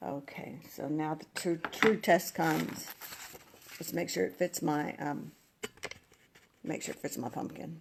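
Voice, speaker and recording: The voice is soft-spoken, fairly slow, and full of long, frequent pauses. Its pitch swings very widely over noticeable background noise. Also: woman, very deep, low pitch for a woman. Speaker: craft tutorial host. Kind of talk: live crafting tutorial.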